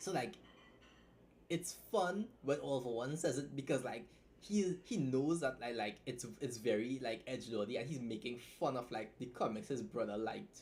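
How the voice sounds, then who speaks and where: Somewhat breathy and medium-pitched, a man speaks at a moderate pace with lively intonation. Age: 20s. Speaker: web novel writer and streamer. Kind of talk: casual live stream chat. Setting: live stream. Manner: casual, halting with restarts.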